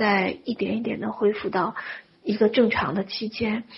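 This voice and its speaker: The voice is somewhat breathy and keeps fairly even intonation. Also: woman. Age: 40s. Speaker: spiritual wealth-manifestation teacher. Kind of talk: lecture.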